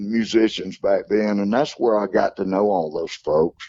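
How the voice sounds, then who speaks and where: Here a man speaks in a Southern US accent. He keeps a fairly slow pace. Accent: Southern US (Georgia). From US South, Athens Georgia. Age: 60s. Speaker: country singer. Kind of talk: interview.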